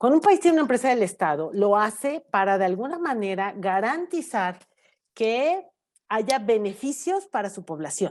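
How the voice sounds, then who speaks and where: Her pitch rises and falls very widely and sits fairly high. This woman keeps a moderate pace. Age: 50s. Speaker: energy analyst. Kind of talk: panel discussion.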